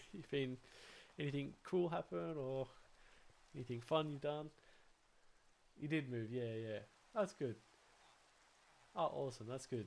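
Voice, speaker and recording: This man's voice sits at a medium pitch with ordinary pitch variation. He moves at a moderate pace, broken by long, frequent pauses. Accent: Australian. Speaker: gaming livestreamer. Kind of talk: casual chat while gaming livestream. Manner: animated, halting with many fillers.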